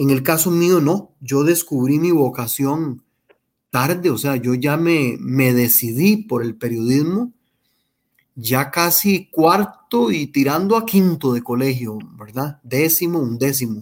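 At a very slow pace, a man speaks at a fairly high pitch with lively intonation. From Costa Rica, Heredia. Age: 40s. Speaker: journalist. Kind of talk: interview testimony.

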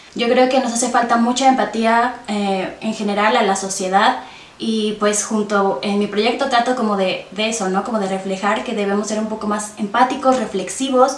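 A woman speaks at a fairly high pitch with fairly even intonation, over noticeable background noise and audible room echo. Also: moderate pace, hardly any pauses. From Mexico, Hidalgo (Tasquillo). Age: 20s. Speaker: feminist podcaster. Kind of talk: interview.

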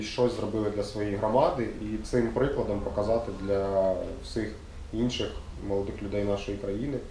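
A man speaks at a moderate pace with fairly even intonation, heard through audible room echo and noticeable background noise. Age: 20s. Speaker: youth center interviewer. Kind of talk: casual interview.

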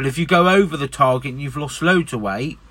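Using an English accent, a man speaks at a moderate pace with a fairly high pitch and ordinary pitch variation. His tone is bright and sharp. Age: 30s. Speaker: podcaster. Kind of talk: casual monologue. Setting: in a van.

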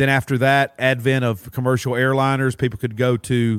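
With a Southern US accent, a man talks at a medium pitch with fairly even intonation. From Mississippi and Alabama.

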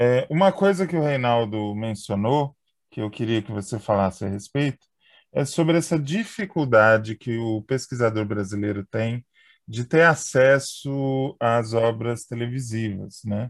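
In a very clean recording with a silent background, a man with a normal speaking voice speaks at a fairly slow pace and a medium pitch with ordinary pitch variation. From interior of São Paulo state. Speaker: podcast host. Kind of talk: casual interview.

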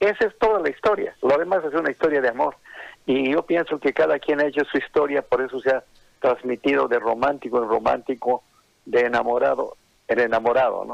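A man at medium pitch with a strong Bolivian highland accent, vocal fry, ordinary pitch variation and a fairly quick pace, in a dry, close sound with no echo. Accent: Bolivian highland (colla) accent, strong. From Bolivian highlands, Oruro. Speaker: songwriter. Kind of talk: interview.

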